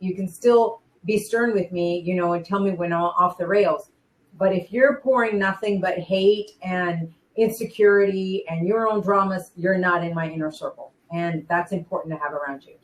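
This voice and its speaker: Speaking at a moderate pace and medium pitch in a normal speaking voice, a woman shows ordinary pitch variation while her loudness swings widely. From raised in Spain, army family, lives in United States. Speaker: former wrestling ring announcer and singer. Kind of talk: interview answer. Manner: emotional, heartfelt.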